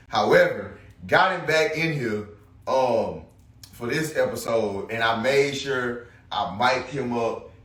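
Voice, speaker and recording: Very slow speech from a man, amid noticeable background noise and audible room echo. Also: medium pitch for a man, lively intonation. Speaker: podcast host. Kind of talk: casual solo podcast monologue. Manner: loud; halting, many fillers.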